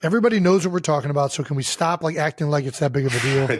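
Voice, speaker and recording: Over light background noise, a man uses a put-on character voice that is raspy and fairly high-pitched, talking at a very fast pace with ordinary pitch variation. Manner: defensive, annoyed.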